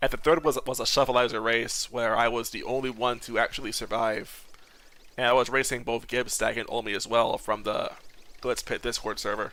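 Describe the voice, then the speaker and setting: A bright, sharp tone with monotone, flat intonation. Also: man, medium pitch for a man. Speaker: gaming streamer. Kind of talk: live gameplay commentary. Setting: live stream. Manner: fast, words blending together; mumbling, slurred words at times.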